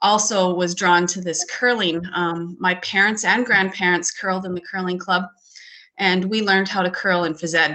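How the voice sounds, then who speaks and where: With a Canadian accent, a woman in an unremarkable speaking voice talks at a moderate pace and medium pitch, her intonation fairly even. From Canada, small town in Alberta. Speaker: curling federation president. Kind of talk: panel discussion. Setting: video call.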